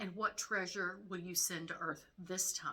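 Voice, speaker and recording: A female-sounding voice does a put-on character voice at medium pitch. It is raspy and moves at a moderate pace. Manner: irreverent, sneering.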